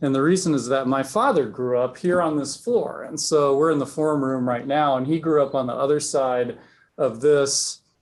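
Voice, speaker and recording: An ordinary speaking voice, male and fairly high-pitched, moderately paced with ordinary pitch variation. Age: 50s. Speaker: speaker at a reader society gathering. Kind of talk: speech to a live audience. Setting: meeting room with audience.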